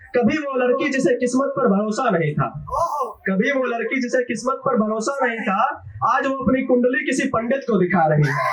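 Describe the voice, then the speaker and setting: Noticeable background noise sits behind the speaker. He is a man with an extremely high pitch. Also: ordinary pitch variation. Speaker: poet. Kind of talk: live open mic poetry performance. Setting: live audience. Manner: casual, joking asides between verses.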